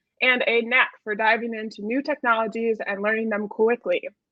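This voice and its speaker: A woman with a Wisconsin accent and a fairly high pitch speaks at a fairly quick pace, with a dry sound with no echo and a quiet background. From Wisconsin, US Midwest. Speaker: event host. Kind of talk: event hosting, partly scripted. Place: home room.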